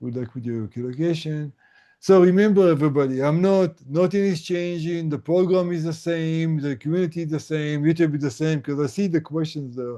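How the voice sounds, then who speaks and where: Talking at a fairly quick pace with an Israeli accent, a man has a dark, mellow tone and fairly high pitch. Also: ordinary pitch variation. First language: Hebrew. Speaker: tinnitus coach. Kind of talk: casual chat. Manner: halting.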